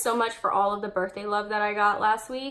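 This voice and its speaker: A woman speaks at a moderate pace in an ordinary speaking voice with a fairly high pitch. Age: 20s. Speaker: beauty vlogger. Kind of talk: makeup tutorial with casual chat. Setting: home hallway by a window.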